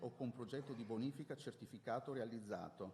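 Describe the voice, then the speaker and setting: A man is talking. There is a somewhat breathy quality to his voice. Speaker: city official. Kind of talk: conference presentation. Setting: conference with slides. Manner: fast.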